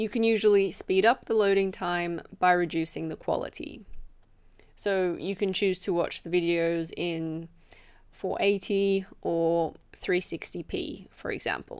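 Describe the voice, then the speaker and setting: In a very clean recording with a silent background, a woman of medium pitch speaks fairly slowly with fairly even intonation. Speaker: English teacher. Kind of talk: tutorial. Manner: clear.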